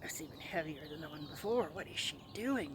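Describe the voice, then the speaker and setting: A woman's put-on character voice, very deep and low, at a fairly quick pace over clear background noise. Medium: read story. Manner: gruff, blunt.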